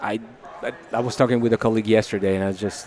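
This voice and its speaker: A man with an Italian accent, fairly low pitch and monotone, flat intonation at a very fast pace, with noticeable background noise. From Italy. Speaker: software product manager. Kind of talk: casual interview. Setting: conference. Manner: halting.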